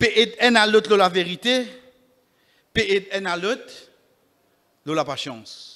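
A man's raised, projected voice, high in pitch and bright, sharp in tone, with ordinary pitch variation, a fairly slow pace and long, frequent pauses over a quiet background. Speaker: imam giving Friday sermon. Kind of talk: Friday sermon (khutbah) mixing French, Creole and Arabic. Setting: mosque. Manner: earnest, exhortative, preacherly; rhetorical questions addressing the congregation. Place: church. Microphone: podium.

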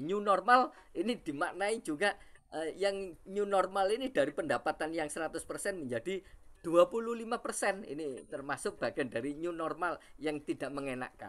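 This man talks at a fairly slow pace, his high-pitched voice carrying lively intonation. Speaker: university lecturer. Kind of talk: webinar presentation. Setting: video call. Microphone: video call.

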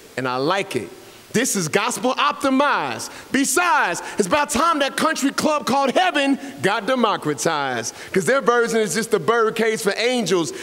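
A man's raised, projected voice swings very widely in pitch. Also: moderate pace. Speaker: spoken word poet. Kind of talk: poetry performance. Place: hall.

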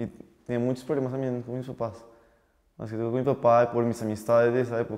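A man talks at a very fast pace with long, frequent pauses. His intonation is monotone and flat over a quiet background. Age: 20s. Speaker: young entrepreneur and chef; guest. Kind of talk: interview testimony. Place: studio. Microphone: lapel.

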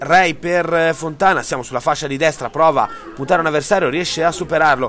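A man with a fairly high pitch talks at a fairly quick pace in fairly even intonation, with noticeable background noise behind him. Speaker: sports commentator. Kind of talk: live-style sports commentary voiceover over match highlights. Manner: fast, rattling off play-by-play in a brisk, even, reporter-like tone.

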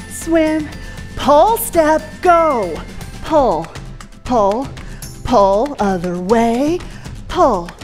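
Faint music plays behind a woman with a high-pitched voice. She talks at a very slow pace, with long, frequent pauses. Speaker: fitness trainer. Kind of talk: workout instruction. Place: gym.

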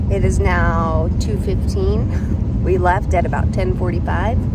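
Loud background noise surrounds a woman speaking. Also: dry sound with no echo. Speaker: family road trip vlogger. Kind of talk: casual vlog chat. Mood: wry, mildly annoyed. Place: car. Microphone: phone near.

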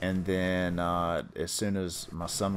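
A man's very deep, low voice in a North Carolina accent, flat and monotone, with audible room echo and noticeable background noise. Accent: North Carolina Southern US. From North Carolina, US South. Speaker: podcast host, gamer. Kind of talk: casual chat.

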